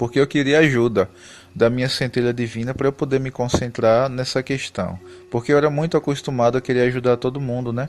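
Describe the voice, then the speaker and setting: The speaker has a Pernambuco accent and fairly even intonation. The pace is fairly quick. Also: man, medium pitch for a man. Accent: Pernambuco (northeastern Brazilian). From Brazil, Pernambuco. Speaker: spiritual YouTuber. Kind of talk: casual spiritual talk to camera. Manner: conversational, with hesitations.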